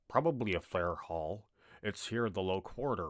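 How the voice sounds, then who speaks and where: In a very clean recording with a silent background, a man does a put-on character voice at a fairly low pitch, with lively intonation and a moderate pace. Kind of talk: casual, gruff.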